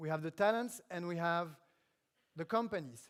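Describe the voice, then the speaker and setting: This speech comes at an average speed. A French accent is heard. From France. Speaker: government official speaking at tech conference. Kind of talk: conference keynote speech. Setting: stage at live event in Paris. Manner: halting with frequent fillers.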